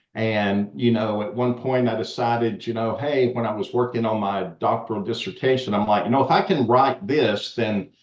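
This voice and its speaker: At a moderate pace, a man with a Southern US accent speaks at a medium pitch. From US South. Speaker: education expert and author. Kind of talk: podcast interview.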